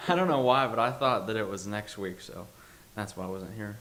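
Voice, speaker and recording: With an American accent, a man speaks at a moderate pace amid audible room echo. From Pennsylvania. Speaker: bible college student. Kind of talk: testimony.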